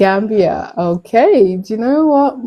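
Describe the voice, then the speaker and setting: A woman is speaking. She has a British accent. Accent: UK. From UK, Nigerian heritage. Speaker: live streamer. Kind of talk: casual chat.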